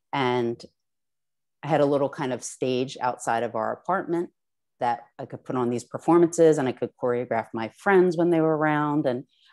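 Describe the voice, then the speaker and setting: In a very clean recording with a silent background, a woman talks at a moderate pace in a very deep, low voice with ordinary pitch variation. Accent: Philadelphia. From US Northeast, South Jersey. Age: 40s. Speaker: artist. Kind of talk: artist talk. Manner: hesitant, many fillers.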